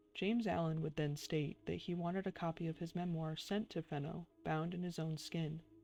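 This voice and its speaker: A soft-spoken woman at a moderate pace, fairly low in pitch, with monotone, flat intonation and music in the background. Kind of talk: ASMR soft-spoken reading.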